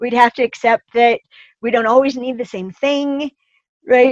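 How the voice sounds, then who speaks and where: A woman is speaking. Her pitch is high. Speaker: relationship expert. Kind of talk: interview answer.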